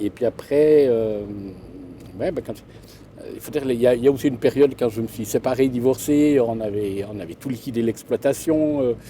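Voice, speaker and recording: A man speaks at a moderate pace in a medium pitch, with ordinary pitch variation and big swings in loudness. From Gruyère region, Switzerland. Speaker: shepherd and storyteller. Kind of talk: interview answer. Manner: hesitant, conversational.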